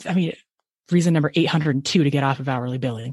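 A woman is speaking. Her pace is very fast. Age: 40s. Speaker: consultant for CPA firms. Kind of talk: interview.

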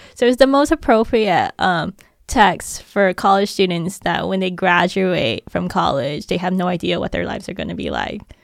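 A woman speaks with vocal fry and hardly any pauses. The recording is very clean, with a silent background. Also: medium pitch for a woman, lively intonation, moderate pace. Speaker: professor and writer. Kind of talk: casual chat.

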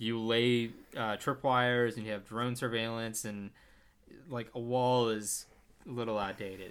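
At a fairly slow pace, a man speaks in a monotone, flat intonation at medium pitch, on a very clean recording with a silent background. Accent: Texan. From Texas. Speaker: film podcast co-host. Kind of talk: casual chat.

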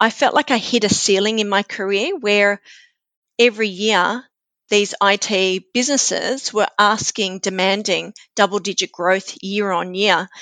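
Fairly slow with fairly even intonation, a bright, sharp voice with an Australian accent comes through dry and close with no echo over a quiet background. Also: woman, medium pitch for a woman. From Australia, New South Wales mid north coast. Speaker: neuroscience coach and author. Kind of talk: interview conversation.

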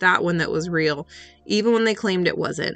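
With music in the background, a woman speaks at a fairly quick pace and medium pitch with fairly even intonation. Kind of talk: ghost story reading aloud. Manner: hushed, tense, eerie first-person narration.

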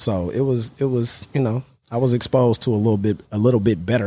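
A man's fairly low-pitched voice with a dark, mellow tone, on a very clean recording with a silent background. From Oakland, California. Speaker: former pro football player and coach. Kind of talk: casual interview.

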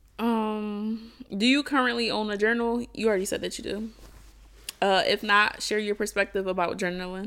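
With a normal speaking voice, a woman talks at medium speed, fairly high in pitch and fairly even in intonation. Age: 20s. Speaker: podcast co-host. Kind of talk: casual chat.

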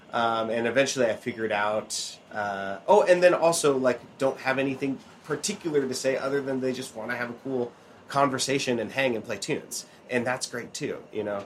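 A man with an American accent has a plain, everyday voice, speaking at medium pitch and a fairly quick pace with ordinary pitch variation. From Oregon. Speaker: banjo player and podcast host. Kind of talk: casual chat. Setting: outdoors, later indoors.

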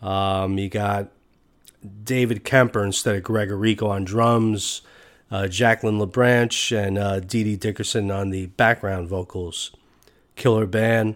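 A man speaks at a fairly low pitch and fairly slow pace, his intonation monotone and flat. The recording is very clean, with a silent background. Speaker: podcast host. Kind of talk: solo podcast commentary. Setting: studio. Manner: halting.

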